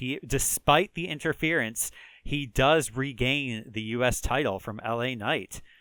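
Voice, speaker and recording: Lively intonation in a Chicago accent, with a bright, sharp tone and a fairly slow pace, dry and close with no echo on a very clean recording with a silent background. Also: man. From rural Chicago area, US Midwest. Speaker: gaming video creator. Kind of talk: let's play commentary. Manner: casual, many fillers (um, uh).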